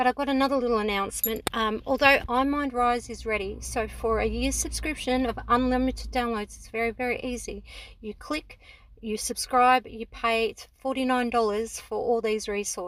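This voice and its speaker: Speaking at a moderate pace in an Australian accent, a woman's voice shows big swings in loudness. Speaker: homeschooling parent and educational website creator. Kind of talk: sales pitch. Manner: casual, with many fillers.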